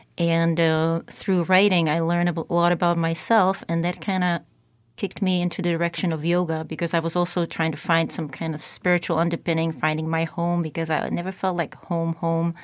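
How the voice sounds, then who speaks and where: A woman with a Czech accent speaks at a fairly quick pace in a fairly low pitch, her intonation monotone and flat. The recording is very clean, with a silent background. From Czech Republic. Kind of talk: interview conversation. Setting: studio.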